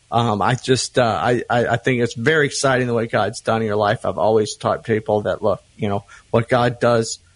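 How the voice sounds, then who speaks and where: A plain, everyday voice speaks at a moderate pace with fairly even intonation, recorded with a dry, close sound and no echo. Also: man. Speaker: ministry friend, co-host guest. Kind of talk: casual conversation.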